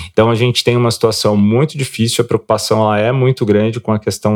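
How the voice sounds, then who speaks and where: In an ordinary speaking voice, a man talks at a fairly low pitch with fairly even intonation, the sound dry and close with no echo. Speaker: financial market analyst co-host. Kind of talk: market commentary and interview.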